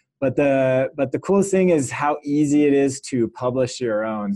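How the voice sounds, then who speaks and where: A man with an American accent speaks at a moderate pace in a dark, mellow tone, recorded dry and close with no echo. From California. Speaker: software company founder. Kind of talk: casual interview with screen-share walkthrough.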